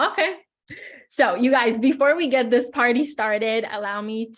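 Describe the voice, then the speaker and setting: The background stays quiet. A woman's voice goes at a moderate pace, its pitch varying in an ordinary way. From Israel, some childhood years in Los Angeles. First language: Hebrew. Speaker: business English teacher. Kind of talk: webinar workshop. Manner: friendly, interactive.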